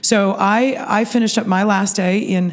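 A woman speaks in a monotone, flat intonation at a medium pitch, with noticeable background noise. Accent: American. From Pittsburgh, Pennsylvania. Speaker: festival organization CEO. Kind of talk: interview.

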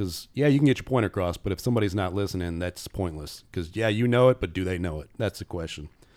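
A man with a Midwestern American accent, lively intonation and a fairly quick pace, on a very clean recording with a silent background. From Indiana (South Bend). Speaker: safety consultant and professor. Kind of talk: casual interview.

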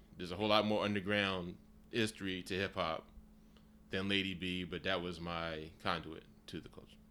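In a very deep, low voice with a bright, sharp tone, a man with an American accent talks at a fairly quick pace with monotone, flat intonation, long, frequent pauses and big swings in loudness. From Philadelphia, US. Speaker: music fan and photographer. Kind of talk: casual chat. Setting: in an apartment.

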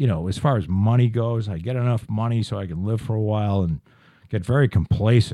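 A man's normal speaking voice at a medium pitch and a fairly quick pace. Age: 50s. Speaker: podcast host. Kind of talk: casual chat.

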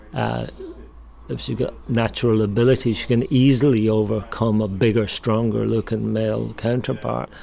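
At a moderate pace, a man talks with an Irish accent. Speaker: bike shop owner. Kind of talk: interview.

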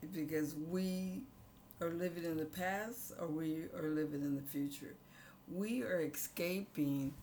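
A woman with a very deep, low pitch and an American accent speaks with lively intonation and very even loudness, leaving long, frequent pauses. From San Diego, California. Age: 70s. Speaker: community arts center founder. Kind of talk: interview conversation.

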